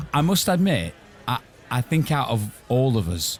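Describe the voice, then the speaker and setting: This is a man speaking. He has an English accent. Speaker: podcast host. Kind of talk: casual chat.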